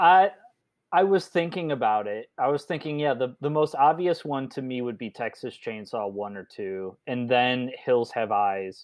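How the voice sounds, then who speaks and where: A man with an American accent and an ordinary speaking voice talks at a moderate pace in a medium pitch with lively intonation. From northern US. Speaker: podcast co-host. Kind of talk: casual chat.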